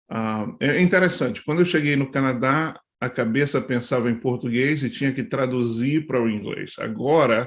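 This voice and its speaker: On a very clean recording with a silent background, a man speaks at a moderate pace with hardly any pauses. His pitch is medium, with ordinary variation. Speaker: pastor. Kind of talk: talk to church leaders. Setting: live video stream. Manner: halting, many fillers.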